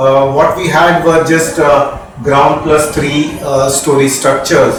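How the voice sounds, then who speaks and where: Amid noticeable background noise and audible room echo, a man with an Indian accent speaks at a very slow pace and a fairly high pitch, with monotone, flat intonation. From India, Mumbai. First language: Marathi. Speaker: radiologist, former dean. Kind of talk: interview. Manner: hesitant, many fillers.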